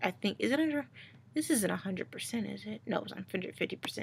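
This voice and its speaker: A woman's very fast, fairly high-pitched speech with vocal fry, lively intonation and big swings in loudness. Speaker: YouTuber and comic artist. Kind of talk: casual vlog with art walkthrough. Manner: casual, hesitant with fillers.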